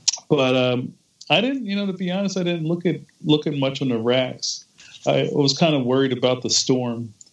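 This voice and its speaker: This man has an unremarkable speaking voice with an American accent and a fairly high pitch. He talks at a moderate pace with ordinary pitch variation. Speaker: comics artist. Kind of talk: casual chat.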